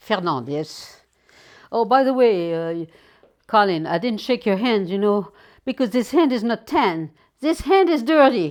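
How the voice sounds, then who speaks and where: In a French accent, the speaker talks at a fairly slow pace with very wide pitch swings on a very clean recording with a silent background. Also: woman, fairly high pitch for a woman. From Normandy, France. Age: 80s+. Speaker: retired tour guide. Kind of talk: interview. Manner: halting.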